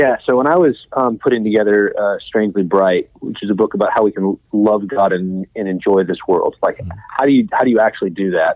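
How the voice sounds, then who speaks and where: An unremarkable speaking voice from a man with an American accent, fairly low in pitch, at a fairly quick pace with ordinary pitch variation. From West Texas, Midland. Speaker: pastor and professor. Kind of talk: interview.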